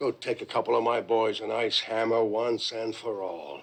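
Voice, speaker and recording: A raspy, put-on character voice from a man, medium in pitch with ordinary pitch variation. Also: moderate pace. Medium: short film. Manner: menacing, bossy.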